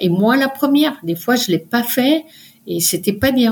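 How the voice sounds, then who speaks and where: This woman's voice is fairly high in pitch and somewhat breathy. She speaks at a fairly slow pace with lively intonation. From France, Paris. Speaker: mountaineer and doctor. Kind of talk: interview. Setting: remote recording.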